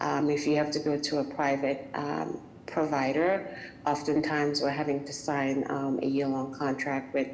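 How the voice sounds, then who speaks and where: A woman in a West Indian accent, with a very deep, low pitch, monotone, flat intonation and a fairly slow pace, amid noticeable background noise and audible room echo. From West Indies. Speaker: small business owner. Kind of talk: public meeting comment. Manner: hesitant, many fillers.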